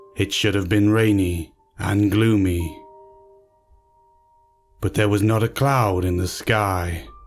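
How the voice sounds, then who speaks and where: A man's fairly low, fairly even voice at a very slow pace, with very even loudness, long, frequent pauses and music in the background. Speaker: narrator. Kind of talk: horror story narration.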